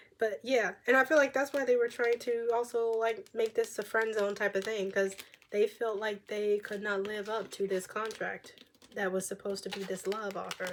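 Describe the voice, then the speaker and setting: A woman at a fairly high pitch and moderate pace, with noticeable background noise. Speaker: tarot reader. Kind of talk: tarot reading. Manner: animated.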